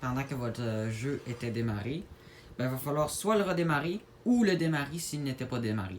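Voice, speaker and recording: The speaker has a strong Quebec accent. The intonation is lively. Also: man. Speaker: gaming YouTuber. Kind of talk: gaming tutorial. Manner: hesitant, many fillers; casual.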